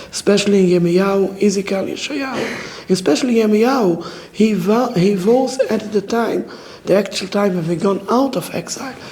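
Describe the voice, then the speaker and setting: Over noticeable background noise, a man with a non-native accent speaks at a high pitch with ordinary pitch variation. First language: not English. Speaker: orthodox rabbi. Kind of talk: public talk at a community dialogue event. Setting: community event with live audience. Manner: halting, broken English phrasing.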